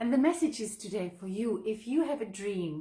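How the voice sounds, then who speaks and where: Somewhat breathy, a woman speaks at a moderate pace with a non-native accent. Her tone is animated. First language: not English. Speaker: author and online entrepreneur. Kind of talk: live video monologue. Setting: live video.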